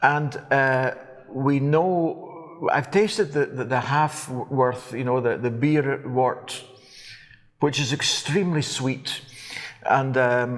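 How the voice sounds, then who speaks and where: The pitch varies in an ordinary way, with a Scottish accent. The pace is very slow. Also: man, fairly high pitch for a man. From Scotland. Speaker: whisky presenter. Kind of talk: interview. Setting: on location at a distillery.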